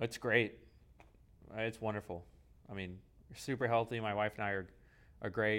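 A man's fairly low voice at a moderate pace, with fairly even intonation and long, frequent pauses. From California. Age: 20s. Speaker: church musician. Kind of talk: casual chat.

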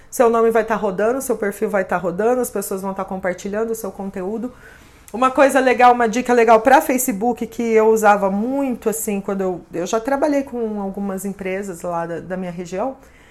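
A woman's fairly quick speech, with ordinary pitch movement, competes with noticeable noise in the background. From interior of São Paulo state, Brazil. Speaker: social media influencer and consultant. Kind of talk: interview.

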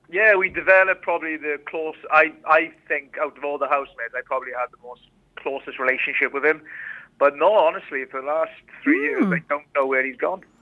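The voice has big swings in loudness and ordinary pitch variation. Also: man, fairly high pitch for a man. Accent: Welsh. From Rhondda, Wales. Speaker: former reality TV contestant. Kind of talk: casual interview chat.

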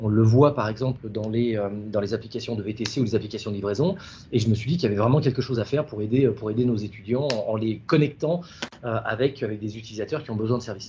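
Somewhat breathy and dark, mellow in tone, a man at medium pitch talks at a very fast pace with ordinary pitch variation. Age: 40s. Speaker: app founder, former executive. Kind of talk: interview. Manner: halting, many repetitions.

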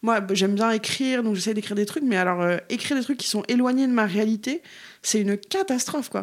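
A woman's ordinary speaking voice, fairly high in pitch, with ordinary pitch variation, very even loudness and a fairly quick pace, on a very clean recording against a silent background. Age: 30s. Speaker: activist. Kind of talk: casual chat.

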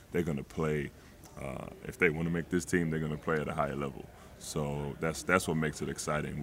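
A man talks at a fairly quick pace in a very deep, low pitch. His delivery is monotone and flat, with vocal fry. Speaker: general manager. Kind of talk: casual interview.

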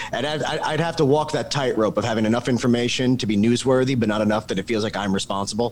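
Over noticeable background noise, a man talks very fast at a medium pitch with ordinary pitch variation and hardly any pauses. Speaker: screenwriter. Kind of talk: casual chat. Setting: video call.

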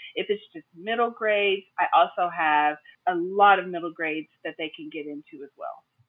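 A woman talks at a moderate pace with a fairly low pitch and ordinary pitch variation. Her loudness swings widely. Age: 40s. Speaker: middle school English teacher. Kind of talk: interview.

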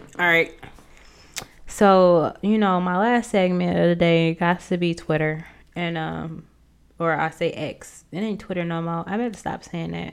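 A woman's fairly low voice in an American accent, with fairly even intonation and long, frequent pauses. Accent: Midwestern US with a slight Southern drawl. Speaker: podcast host, author, former English professor. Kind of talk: casual solo podcast monologue.

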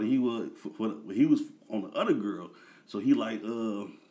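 With an American accent, a man uses a normal speaking voice at a fairly low pitch. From Peoria, Illinois, US Midwest. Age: 30s. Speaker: music manager. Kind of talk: casual chat.

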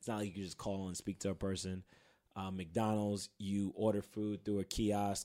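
Speaking in a New York accent, a man with a fairly low pitch and a dark, mellow tone keeps a monotone, flat intonation at a moderate pace in a very clean recording with a silent background. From Queens, New York City. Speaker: podcast host, advertising professional. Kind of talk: casual chat. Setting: studio.

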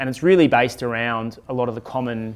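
This man has a normal speaking voice at a medium pitch. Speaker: podcast host and investment publisher executive. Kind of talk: casual business chat podcast.

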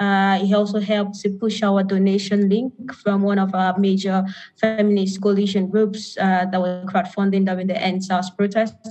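Over music in the background, a woman with a medium pitch speaks at a moderate pace in monotone, flat intonation. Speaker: activist. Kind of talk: panel discussion. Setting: video call.

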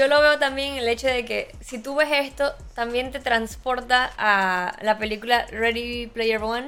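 A woman speaks fairly slowly in a high voice with fairly even intonation. She leaves hardly any pauses, on a very clean recording with a silent background. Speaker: podcast host. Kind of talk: casual chat. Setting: live stream.

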